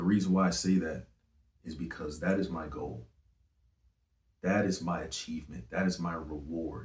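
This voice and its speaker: A man speaks at a moderate pace with a very deep, low pitch, vocal fry and ordinary pitch variation. Long pauses come often. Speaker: singer and rapper. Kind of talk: interview. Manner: casual.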